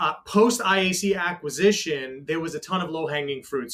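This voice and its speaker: A man with a high-pitched voice talks in a New York accent. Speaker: technology executive. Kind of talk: panel interview.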